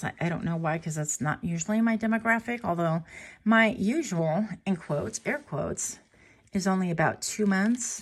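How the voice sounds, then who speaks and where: A woman's somewhat breathy, medium-pitched voice with lively intonation at a moderate pace, on a very clean recording with a silent background. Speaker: tarot reader. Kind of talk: tarot reading to camera.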